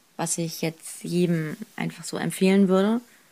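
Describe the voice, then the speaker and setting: A plain, everyday voice from a woman, fairly low in pitch, with fairly even intonation and a very clean recording with a silent background. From northern Germany, Kiel. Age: 20s. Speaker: photographer and student. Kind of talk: interview.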